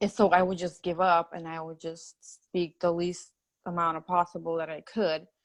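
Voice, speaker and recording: A woman with a Russian accent speaks at a moderate pace and a fairly low pitch, her intonation monotone and flat. Her loudness swings widely against a quiet background. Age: 30s. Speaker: patient sharing recovery story. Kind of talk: interview testimony.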